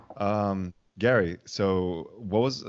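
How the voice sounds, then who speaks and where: With a slight non-native accent, a man speaks in a very deep, low-pitched voice. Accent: barely noticeable non-native. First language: not English. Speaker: podcast co-host. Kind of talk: casual chat.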